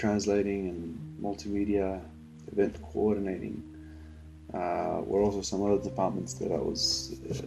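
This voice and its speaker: A man speaks with a very deep, low pitch in a Spanish accent. Audible room echo surrounds his voice. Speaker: believer giving personal testimony. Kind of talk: testimony. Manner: halting, many fillers.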